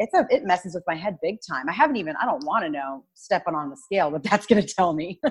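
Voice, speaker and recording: A woman's somewhat breathy, medium-pitched voice at a very fast pace, lively in intonation and with hardly any pauses. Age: 30s. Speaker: fitness guest, mother. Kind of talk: casual chat.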